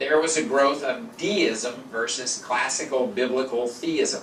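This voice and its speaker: A man with an American accent speaks with a fairly high pitch and lively intonation. Noticeable background noise and audible room echo are present. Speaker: lecturer. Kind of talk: lecture. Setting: stage with audience.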